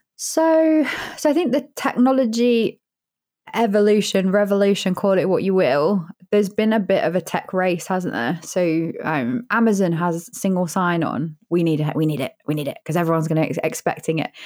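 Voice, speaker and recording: On a very clean recording with a silent background, a woman with a British accent speaks at a moderate pace and a medium pitch, with very wide pitch swings. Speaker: founder and CEO, customer experience. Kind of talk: casual interview.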